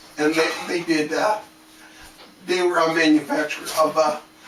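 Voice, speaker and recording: At a fairly slow pace, a man speaks with a fairly high pitch and ordinary pitch variation. Noticeable background noise sits behind him. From Canada. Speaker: art and game design teacher, video creator. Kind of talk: casual talk to camera. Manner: slow, halting; sped up in editing. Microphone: static-y laptop sound card.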